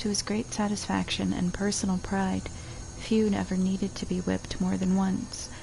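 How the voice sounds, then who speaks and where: A soft-spoken woman talks at a moderate pace in a relaxed tone. There is noticeable background noise. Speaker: streamer. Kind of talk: reading a book or poem aloud. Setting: casual stream recording with spontaneous asides. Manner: soft-spoken, relaxed.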